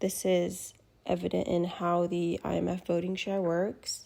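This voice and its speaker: On a very clean recording with a silent background, a woman speaks at a very slow pace. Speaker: student. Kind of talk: class presentation.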